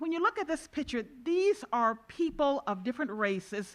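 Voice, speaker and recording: A woman speaks in a high voice at a moderate pace. The background is quiet. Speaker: judge and conference chair. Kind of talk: introductory speech to conference audience. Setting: stage with audience. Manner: loud.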